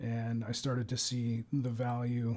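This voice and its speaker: In an American accent, a man speaks with a medium pitch and a somewhat breathy voice, his intonation monotone and flat. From Ohio, Cincinnati area. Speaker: police sergeant. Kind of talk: interview. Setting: studio.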